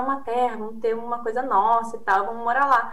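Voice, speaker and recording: A high-pitched woman with a southern Brazilian accent at a fairly quick pace, with noticeable background noise and audible room echo. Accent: southern Brazilian (gaúcho). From Brazil, Rio Grande do Sul. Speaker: PhD researcher on consumer behaviour. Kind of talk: interview.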